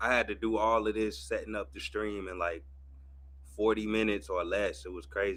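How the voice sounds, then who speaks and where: With an American accent and an unremarkable speaking voice, a man talks at a fairly quick pace, his fairly low pitch carried by lively intonation. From US Midwest, St. Louis. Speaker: streamer and boxing commentator. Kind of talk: casual live watch-party commentary. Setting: livestream.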